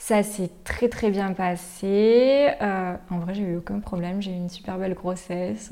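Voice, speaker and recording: The speaker talks at a fairly slow pace with fairly even intonation. Noticeable background noise can be heard. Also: woman. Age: 20s. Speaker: nurse. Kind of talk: testimony.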